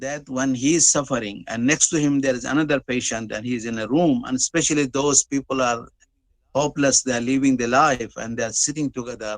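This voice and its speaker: With an Arabic accent, a man talks at a fairly quick pace, medium in pitch, with fairly even intonation. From Middle East (Gulf), born in Dubai. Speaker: webinar speaker. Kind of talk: speech.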